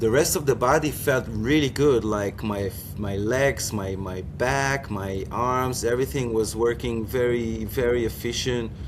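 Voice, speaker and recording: A man speaks at a medium pitch and a fairly slow pace with ordinary pitch variation, hardly any pauses and noticeable background noise. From Israel. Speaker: foiler and former Olympic windsurfer. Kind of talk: interview. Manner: halting, many repetitions.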